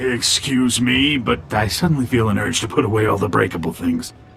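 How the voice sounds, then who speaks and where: Over clear background noise, a man uses a raspy put-on character voice at a medium pitch and a fairly quick pace. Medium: video game. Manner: smooth, ingratiating.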